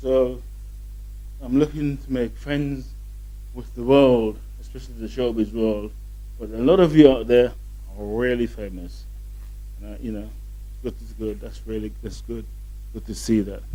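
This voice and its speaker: Long, frequent pauses and big swings in loudness come through with audible room echo. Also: man, moderate pace. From southern England. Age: 50s. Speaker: show host. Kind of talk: casual monologue to camera. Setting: hotel in London.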